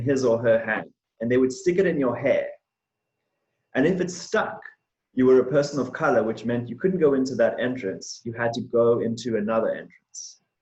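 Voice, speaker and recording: Somewhat breathy and medium in pitch, a man with a South African accent speaks at a fairly quick pace. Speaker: diversity and inclusion manager. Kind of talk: presentation on race.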